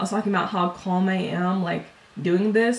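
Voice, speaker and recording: Noticeable background noise runs behind the recording. A woman speaks at a fairly quick pace. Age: 20s. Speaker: beauty YouTuber. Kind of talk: casual vlog talk.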